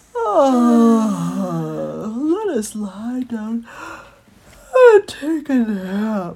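A female-sounding put-on character voice, fairly high in pitch, at a very slow pace. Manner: weary, drowsy.

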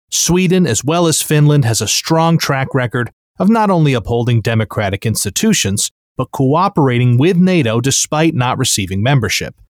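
A man with an American accent talks at a moderate pace with fairly high pitch, very wide pitch swings and very even loudness. The recording is very clean and dry, close with no echo and a silent background. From United States. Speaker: news podcast host. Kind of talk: news reading.

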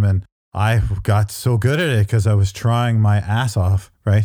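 A man with a dark, mellow tone talks at a fairly low pitch with fairly even intonation. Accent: Canadian. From Canada. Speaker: author and professor. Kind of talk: interview.

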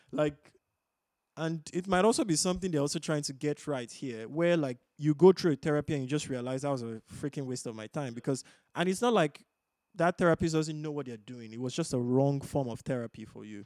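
In a very clean recording with a silent background, a man with a normal speaking voice speaks fairly quickly at a fairly high pitch, with ordinary pitch variation and big swings in loudness. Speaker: podcast co-host. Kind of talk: casual chat.

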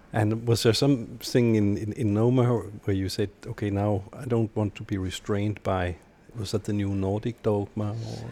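With a Danish accent, a man speaks at a moderate pace in a fairly low pitch and fairly even intonation. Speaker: podcast interviewer. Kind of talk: casual interview.

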